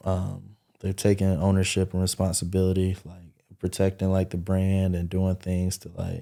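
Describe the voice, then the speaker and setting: A man with a very deep, low voice and a dark, mellow tone speaks at a moderate pace. His loudness swings widely, and the recording is very clean with a silent background. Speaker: party promoter and event entrepreneur. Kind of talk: podcast interview. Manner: monotone, little pitch change; casual with many fillers.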